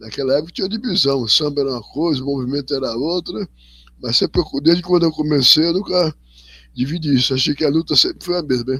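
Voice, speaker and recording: A man with a fairly high pitch rushes through his words at a very fast pace. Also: ordinary pitch variation. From Brazil, São Paulo (moved from Bahia as small child). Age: 70s. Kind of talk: interview. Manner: halting, many repetitions.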